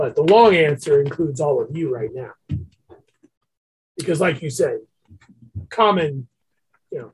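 A man puts on a raspy character voice, fairly high-pitched, with lively intonation, a moderate pace and long, frequent pauses. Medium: actual play. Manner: smooth, chatty.

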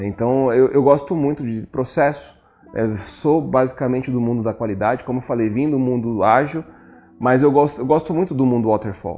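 Here a man speaks in a normal speaking voice. His pitch is medium and his pace moderate. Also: ordinary pitch variation. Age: 40s. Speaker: technology and innovation head. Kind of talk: casual interview chat.

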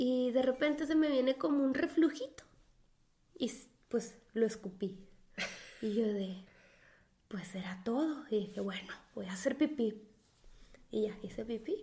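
A quiet woman with a fairly high pitch and a dark, mellow tone talks at a fairly slow pace with lively intonation and long, frequent pauses. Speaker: podcast co-host. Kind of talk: casual chat. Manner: quiet, subdued.

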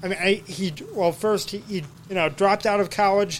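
Flat, monotone delivery at a fairly quick pace, with noticeable background noise. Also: man. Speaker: podcast host. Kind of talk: tribute podcast commentary.

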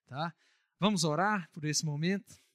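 A somewhat breathy man speaks at a moderate pace with ordinary pitch variation. The recording is very clean, with a silent background and a dry, close sound with no echo. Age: 30s. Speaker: pastor. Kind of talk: church announcements; prayer. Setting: church.

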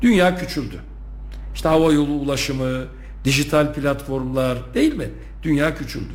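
A man talks at a moderate pace, leaving long, frequent pauses. Audible room echo and noticeable background noise come through. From Turkey. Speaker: university rector. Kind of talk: radio interview. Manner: hesitant, many filler sounds.

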